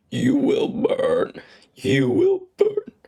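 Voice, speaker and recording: Straining, a man puts on a character voice at an extremely high pitch for a man. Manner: menacing.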